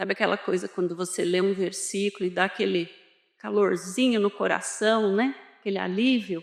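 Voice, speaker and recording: This woman talks at a moderate pace and a medium pitch. Her intonation stays fairly even. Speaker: spiritist lecturer. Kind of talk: lecture. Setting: hall with audience. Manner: soft-spoken.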